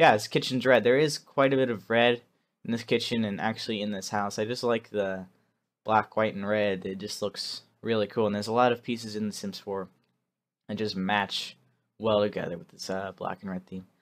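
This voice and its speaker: A man speaks at a fairly quick pace. His fairly low voice keeps a fairly even intonation. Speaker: gaming video creator. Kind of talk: gameplay voiceover commentary. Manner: fast; casual with many fillers.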